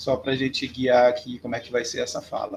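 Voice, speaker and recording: A man with a Belém accent speaks at a medium pitch, his intonation fairly even and his voice somewhat breathy. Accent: Belém accent with hissing 'chiado' sibilants. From Brazil, Belém (Pará). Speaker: professor. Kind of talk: lecture. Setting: remote video lecture.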